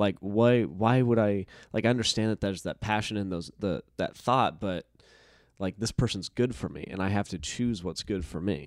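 In an unremarkable speaking voice, a man with an American accent talks at a moderate pace, his pitch fairly low with ordinary variation. The sound is dry and close with no echo, and the recording is very clean with a silent background. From US West, rural northeastern Nevada. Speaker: actor. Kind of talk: casual interview chat.

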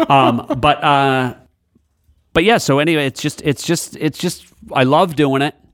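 A man with a New England accent, fairly high pitch and ordinary pitch variation, at a fairly slow pace with long, frequent pauses. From New Hampshire / southern Maine seacoast. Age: 50s. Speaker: comedian. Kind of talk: interview.

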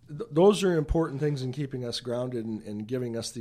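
Very fast, a man speaks in a dark, mellow tone with ordinary pitch variation. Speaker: author and speaker. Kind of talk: radio interview.

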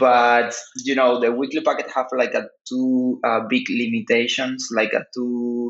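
A man speaks with a Spanish accent at a medium pitch. His pace is fairly slow. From Cuba. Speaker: artist and researcher. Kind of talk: interview. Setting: phone call. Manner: halting. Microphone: phone connection over VPN.

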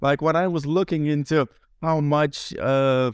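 On a very clean recording with a silent background, a man speaks in a Lithuanian accent. His pace is moderate, his pitch variation ordinary, and the sound dry and close with no echo. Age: 20s. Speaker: translator. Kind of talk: casual chat.

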